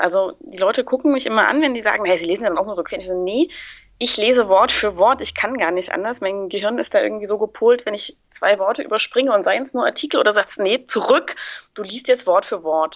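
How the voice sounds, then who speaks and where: A woman with lively intonation at a very fast pace. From Thuringia, Germany. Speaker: guest voice actor and bookseller. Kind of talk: casual chat. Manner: talkative.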